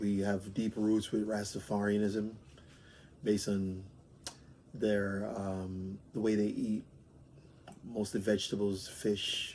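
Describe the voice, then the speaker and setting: A man with a fairly low pitch and a dark, mellow tone speaks in a monotone, flat intonation. He leaves long, frequent pauses. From Jamaica, Montego Bay. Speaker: interviewee, immigrant. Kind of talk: interview answers. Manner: hesitant, with fillers.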